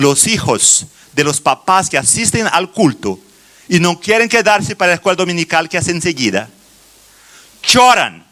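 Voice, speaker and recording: Speaking in a Brazilian accent, a man's high-pitched voice swings very widely in pitch. He leaves long, frequent pauses amid noticeable background noise. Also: moderate pace. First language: Portuguese (speaking Spanish). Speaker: children's ministry teacher. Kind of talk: conference talk. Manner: halting, many fillers and restarts.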